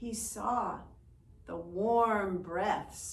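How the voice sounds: With ordinary pitch variation, the voice reads in a natural way.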